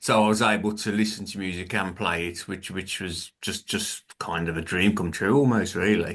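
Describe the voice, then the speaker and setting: A man with a Birmingham accent, a fairly low pitch, a bright, sharp tone and fairly even intonation. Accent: Birmingham (Brummie). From England, Birmingham. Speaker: author and filmmaker, former musician. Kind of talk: interview. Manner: hesitant, many fillers.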